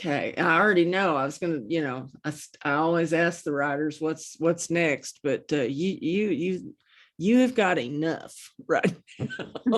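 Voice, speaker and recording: The intonation is lively and the pace moderate. The recording is very clean, with a silent background. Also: woman, fairly low pitch for a woman. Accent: American. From Oklahoma. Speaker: interview show host. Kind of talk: casual interview chat.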